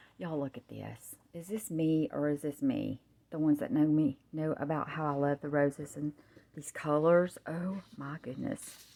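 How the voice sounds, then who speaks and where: A woman's very deep, low voice with a Southern US accent, dark and mellow, at a moderate pace with ordinary pitch variation and big swings in loudness. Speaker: crafter. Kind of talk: product showcase. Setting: at home on camera. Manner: animated.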